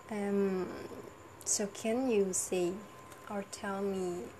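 With noticeable background noise behind her, a woman speaks very slowly at a medium pitch in a monotone, flat intonation. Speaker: university student. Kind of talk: monologue vlog. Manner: halting; laughs often.

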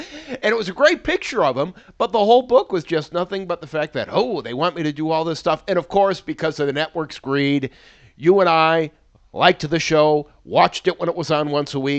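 An ordinary speaking voice from a man, fairly high in pitch with ordinary pitch variation, moves at a fairly quick pace in a dry, close sound with no echo and a quiet background. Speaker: TV podcast host. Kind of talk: casual banter.

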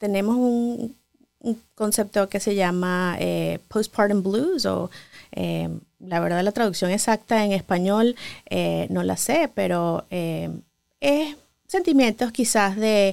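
Recorded very cleanly against a silent background, a woman speaks at a very slow pace. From Venezuela. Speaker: pediatrician. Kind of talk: interview.

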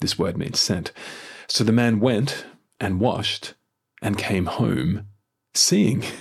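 Very slowly and at a fairly low pitch, a man talks on a very clean recording with a silent background. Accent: Australian. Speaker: church minister leading daily prayer. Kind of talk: formal scripture reading and liturgical prayer, solemn and devotional. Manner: measured, reverent, unhurried, even cadence; formal, intoned prayerful delivery.

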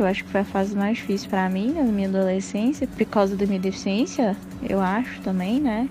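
A woman talks at a fairly quick pace with a medium pitch and ordinary pitch variation. Music plays in the background. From Minas Gerais, Brazil (Passos, southwest). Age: 20s. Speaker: psychology student. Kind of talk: interview testimony.

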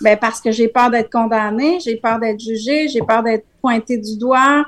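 The speaker has a Quebec accent and talks at a fairly slow pace. Pitch varies an ordinary amount. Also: woman. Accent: Québécois French. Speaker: wellness coach. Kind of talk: casual chat.

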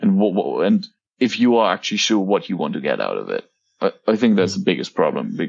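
A man speaks with a German accent. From Germany. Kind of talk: casual interview chat.

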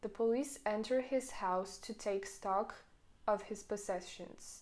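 A woman speaks in a fairly high pitch at a fairly slow pace. Her intonation stays fairly even. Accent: French. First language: French. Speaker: podcaster. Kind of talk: audiobook reading aloud. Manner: steady, measured reading pace; mostly formal, occasionally stumbles and corrects herself.

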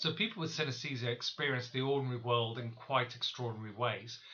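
At a fairly quick pace, a man speaks in an unremarkable speaking voice at medium pitch. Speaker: professor, synesthesia researcher. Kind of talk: expert explanation.

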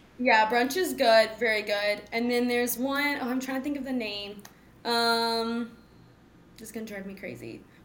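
A woman talks at a moderate pace with a fairly high pitch, fairly even intonation and big swings in loudness. The room echo is audible. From Texas (Mansfield, DFW area). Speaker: pro sports team dancer. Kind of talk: interview conversation.

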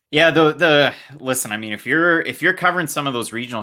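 A voice with a bright, sharp tone speaks very fast in a Canadian accent. The recording is very clean, with a silent background. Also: man. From Canada, New Brunswick (Fredericton). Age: 20s. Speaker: MMA content creator and podcast host. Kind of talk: casual chat.

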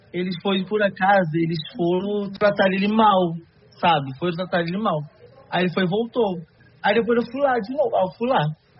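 There is noticeable background noise behind a man's high-pitched voice. He keeps a moderate pace. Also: ordinary pitch variation. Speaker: digital influencer and model. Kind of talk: podcast conversation. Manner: shy, hesitant.

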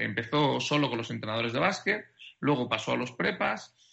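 Speaking at a fairly quick pace, a man uses lively intonation with vocal fry. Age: 30s. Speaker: basketball sports director. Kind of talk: interview.

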